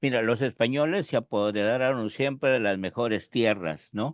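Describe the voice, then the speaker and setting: A man speaks at a fairly slow pace. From northern Peru. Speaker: sociologist. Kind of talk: casual interview conversation. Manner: hesitant, many fillers.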